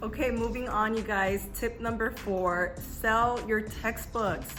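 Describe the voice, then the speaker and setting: With music playing behind her, a woman in an American accent speaks at a fairly slow pace with ordinary pitch variation. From California. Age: 20s. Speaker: lifestyle YouTuber. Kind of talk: casual talk to camera.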